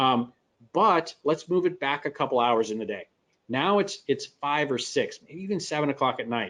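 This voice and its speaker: In a Midwestern American accent, a man speaks at a moderate pace. His fairly high voice carries lively intonation. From US Midwest. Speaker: software company presenter. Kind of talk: webinar Q&A explanation.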